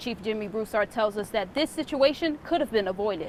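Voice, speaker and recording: Pitched fairly high, a woman's a plain, everyday voice moves with ordinary pitch variation. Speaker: TV news reporter. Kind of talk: TV news reporter stand-up and package narration.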